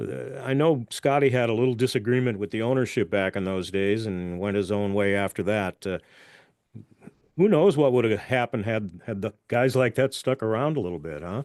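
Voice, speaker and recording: An ordinary speaking voice at a moderate pace, with ordinary pitch variation and a dry, close sound with no echo. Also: man, medium pitch for a man. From Ontario, Canada. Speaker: podcast host. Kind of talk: interview.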